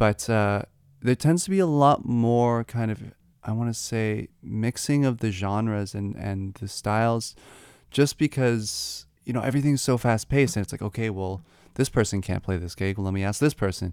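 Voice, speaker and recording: A man's unremarkable speaking voice in a Canadian accent, medium in pitch with ordinary pitch variation, at a moderate pace on a very clean recording with a silent background. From Canada. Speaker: jazz musician. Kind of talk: casual chat.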